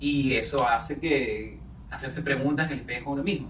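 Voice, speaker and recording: A man with a Venezuelan accent is heard with audible room echo and noticeable background noise. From Venezuela (Caracas). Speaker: actor and singer. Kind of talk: casual interview.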